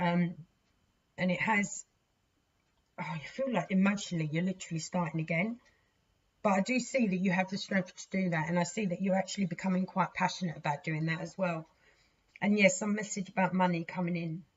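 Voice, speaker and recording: A woman with a British accent speaks at a fairly quick pace in a somewhat breathy, medium-pitched voice, her intonation fairly even and broken by long, frequent pauses. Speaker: tarot reader. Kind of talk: tarot reading. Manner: casual, chatty.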